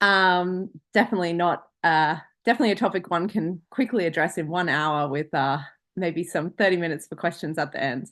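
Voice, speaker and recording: A woman with an Australian accent speaks at a fairly quick pace and fairly low pitch. Her pitch varies in an ordinary way against a quiet background. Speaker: international law lecturer. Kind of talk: online lecture. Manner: fast.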